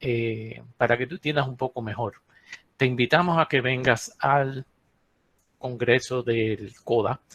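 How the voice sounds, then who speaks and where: Slowly, with long and frequent pauses, a medium-pitched man speaks with fairly even intonation in a dry, close sound with no echo. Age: 60s. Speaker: geologist. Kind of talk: lecture. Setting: webinar.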